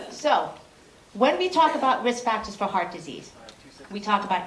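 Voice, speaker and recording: At a fairly quick pace and medium pitch, a woman speaks with lively intonation, with audible room echo and noticeable background noise. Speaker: cardiologist. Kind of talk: conference talk. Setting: stage with audience. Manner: fast.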